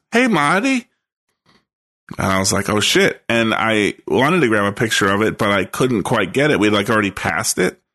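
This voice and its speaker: A plain, everyday voice moves at a moderate pace with very even loudness and ordinary pitch variation. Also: man, medium pitch for a man. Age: 30s. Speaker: podcast co-host. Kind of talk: casual chat.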